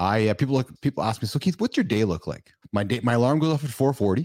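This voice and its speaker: With an energetic tone and a medium pitch, a man speaks at a very fast pace on a very clean recording with a silent background. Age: 50s. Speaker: podcast host. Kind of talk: casual interview chat.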